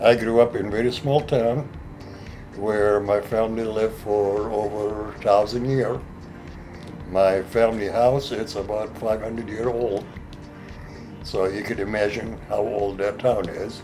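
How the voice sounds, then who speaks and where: Over music in the background, a man talks at a fairly slow pace in a fairly low pitch, with fairly even intonation and long, frequent pauses. Audible room echo surrounds his voice. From Lebanon. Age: 70s. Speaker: furniture maker. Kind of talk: interview. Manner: halting.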